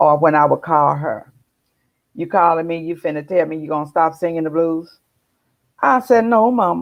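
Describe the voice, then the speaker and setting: A woman with a fairly low voice speaks at a moderate pace, her intonation lively and her speech broken by long, frequent pauses. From US South. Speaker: blues singer. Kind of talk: interview. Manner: animated.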